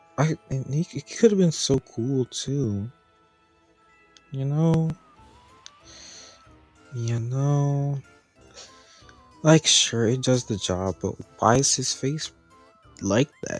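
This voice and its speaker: Over background music, a man speaks very slowly at a medium pitch with ordinary pitch variation. He leaves long, frequent pauses, and the sound is dry and close with no echo. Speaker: animatronic reviewer. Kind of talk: casual review talk.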